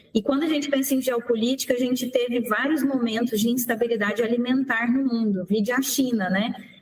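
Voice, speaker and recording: Speaking in a Goiás accent, a woman with a high pitch keeps very even loudness, hardly any pauses and fairly even intonation over noticeable background noise. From Brazil, Goiânia, Goiás (Center-West). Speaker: lawyer, agribusiness association executive. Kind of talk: radio interview.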